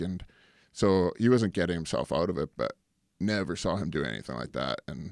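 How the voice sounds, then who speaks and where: A man's very deep, low voice with vocal fry and a Canadian accent, at a moderate pace with ordinary pitch variation, dry and close with no echo on a very clean recording with a silent background. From Canada. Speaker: actor and former pro hockey player. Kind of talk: casual interview chat.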